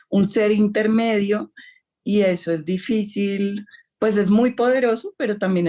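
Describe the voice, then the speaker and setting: A woman uses an ordinary speaking voice at medium pitch. She talks at a fairly slow pace with fairly even intonation. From Colombia. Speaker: novelist. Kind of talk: interview.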